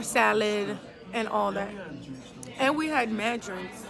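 A woman speaks at a very slow pace with crowd noise in the background. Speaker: vlogger on a date. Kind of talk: casual vlog chat. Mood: playful, laughing. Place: bar. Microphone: phone near.

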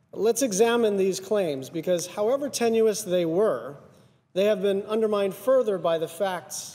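A man speaks with a high pitch and a dark, mellow tone. His pace is fairly slow, with ordinary pitch variation. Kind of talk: formal speech. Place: hall. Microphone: podium.

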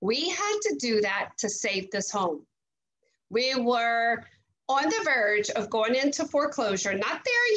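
Fairly high in pitch with a bright, sharp tone, the woman talks at a fairly slow pace and keeps her loudness very even. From Louisiana. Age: 50s. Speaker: network marketing leader, former teacher. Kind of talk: testimony. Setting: video call. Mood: earnest, upbeat testimonial. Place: home room. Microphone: video call.

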